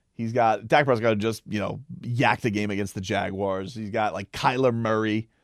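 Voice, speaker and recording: On a very clean recording with a silent background and a dry, close sound with no echo, a man with an unremarkable speaking voice talks at a moderate pace in a fairly low pitch. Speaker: sports radio host. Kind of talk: casual talk to camera. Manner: conversational, opinionated.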